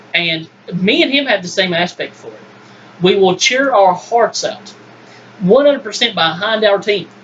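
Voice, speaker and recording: Lively intonation and big swings in loudness come through at a moderate pace over noticeable background noise. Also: man, high pitch for a man. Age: 20s. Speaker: sports podcast host. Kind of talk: casual sports debate. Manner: animated.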